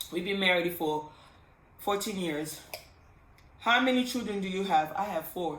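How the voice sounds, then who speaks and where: With a Congolese accent, a woman speaks at a fairly low pitch and a fairly slow pace, with audible room echo. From Congo, Kinshasa. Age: 30s. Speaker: pharmacist vlogger. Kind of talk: casual vlog storytime. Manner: animated.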